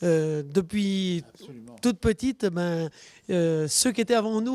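The pace is very slow. The intonation is lively. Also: woman. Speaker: dairy farmer. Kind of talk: casual interview.

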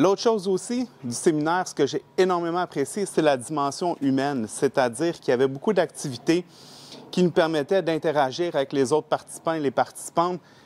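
Here a man speaks with a Quebec accent. His pace is fairly quick, and his pitch varies in an ordinary way. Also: fairly high pitch for a man. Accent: Québécois French. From Quebec, Laval. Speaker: training participant, institute owner. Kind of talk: testimonial. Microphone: lapel.

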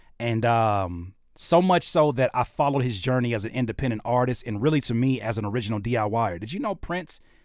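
Sounding animated, a man with an American accent talks at a fairly quick pace with lively intonation and hardly any pauses. The background is quiet, and the sound is dry with no echo. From Los Angeles area, Southern California. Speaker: independent rapper, producer and YouTube host; YouTube host. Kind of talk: casual livestream interview. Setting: livestream studio. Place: studio. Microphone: studio mic.

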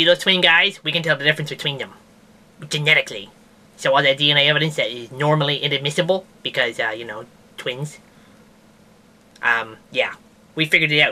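A cartoonish character voice at low-to-middle pitch, very fast, with long, frequent pauses. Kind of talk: comedic science news show. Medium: puppet. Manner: rambling, hesitant, casual.

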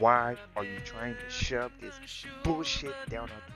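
Background music accompanies the clip. The man's pace is fairly quick. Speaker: gamer. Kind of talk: casual gameplay commentary. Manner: irritated, ranting.

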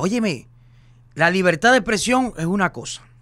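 The background is quiet. A man speaks with a bright, sharp tone. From Cuba. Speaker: social media personality; podcast co-host. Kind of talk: casual chat. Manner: animated. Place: studio. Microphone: studio mic.

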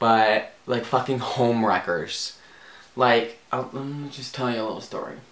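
Male voice at a fairly slow pace, big swings in loudness, audible room echo, light background noise. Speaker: comedy vlogger. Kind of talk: profanity-laced angry rant to camera. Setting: home video recording with soft box lighting. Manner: exasperated, swearing, rambling with filler ums; animated, bubbly and gushing. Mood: annoyed, animated ranting. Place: home room. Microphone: camera far.

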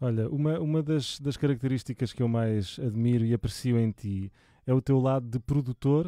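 A man's dark, mellow voice in a European Portuguese accent, dry and close with no echo. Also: medium pitch for a man, ordinary pitch variation, moderate pace, very clean recording, silent background. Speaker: music channel host. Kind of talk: casual interview. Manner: halting.

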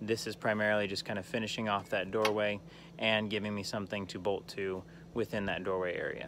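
A man's fairly low, flat, monotone voice at a fairly quick pace, with a dry sound without echo and noticeable background noise. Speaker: diy vlogger. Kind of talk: casual vlog chat. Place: garden. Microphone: phone near.

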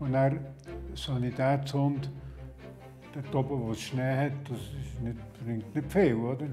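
A fairly slow-paced man over faint background music. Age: 80s+. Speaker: retired civil engineer and search-and-rescue dog trainer. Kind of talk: interview answer, reminiscing. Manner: casual, hesitant. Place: home room.

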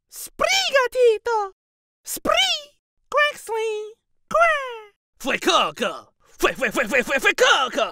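A put-on character voice at an extremely high pitch, with very wide pitch swings and a very slow pace. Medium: dub. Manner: repetitive, playful.

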